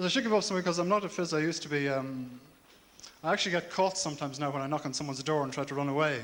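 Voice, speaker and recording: A man with a Dublin accent talks at a very fast pace in a fairly high pitch, with ordinary pitch variation and audible room echo. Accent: Dublin Irish. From Ireland, Dublin. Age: 30s. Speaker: comedian. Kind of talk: stand-up. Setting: stage with audience.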